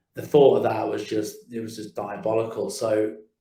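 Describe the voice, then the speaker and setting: A man with a British accent speaks in a fairly low, dark, mellow voice that is somewhat breathy. His intonation is flat and monotone, and his pace is fairly quick. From English Midlands, Kidderminster. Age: 40s. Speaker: digital marketing agency owner. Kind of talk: interview storytelling. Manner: halting, repeats words.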